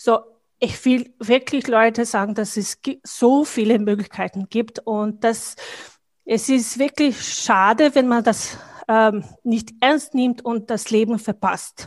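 A woman's fairly high-pitched voice at a very slow pace. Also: fairly even intonation, dry, close sound with no echo. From Bosnia. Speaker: business professional and networking leader. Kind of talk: casual interview conversation. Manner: halting, with fillers and repetitions.

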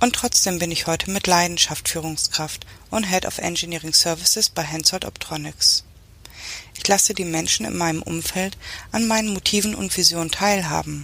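Over noticeable background noise, a woman with a fairly low pitch talks at a moderate pace with ordinary pitch variation. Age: 40s. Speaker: engineering manager. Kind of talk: scripted monologue. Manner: formal.

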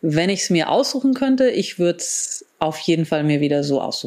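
Her pitch sits fairly low. This woman's voice makes very wide pitch swings. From grew up abroad in several countries, German diplomat family. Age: 40s. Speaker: biohacker and wellness entrepreneur. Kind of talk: interview. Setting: video call.

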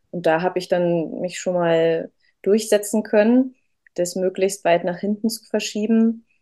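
A woman speaks at a fairly slow pace in a fairly low pitch, with a dark, mellow tone and fairly even intonation. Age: 30s. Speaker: mother sharing birth story. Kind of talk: interview testimony. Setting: in person with host.

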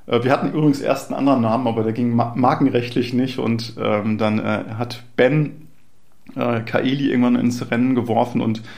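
At a moderate pace, a man talks with a medium pitch and monotone, flat intonation, with audible room echo. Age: 40s. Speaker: startup founder and CEO. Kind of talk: interview. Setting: in person at a startup venue. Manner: frequent hesitation fillers.

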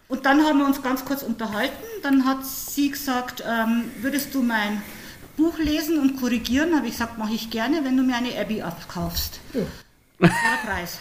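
A woman talks at a moderate pace, her high voice showing ordinary pitch variation. There is noticeable background noise and audible room echo. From Upper Palatinate, Bavaria (Hohenfels). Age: 50s. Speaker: author and retired teacher. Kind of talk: casual interview.

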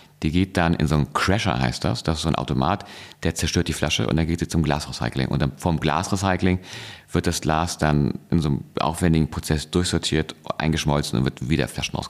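Very deep and low, a man's voice moves at a fairly quick pace with very even loudness and ordinary pitch variation. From Hamburg, northern Germany. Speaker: entrepreneur, soft drink company founder. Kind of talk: interview. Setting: studio. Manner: calm, measured.

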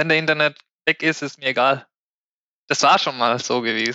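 The man talks at a moderate pace. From Spain. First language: Spanish (speaking German). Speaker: IT cloud consultant. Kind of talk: casual podcast discussion.

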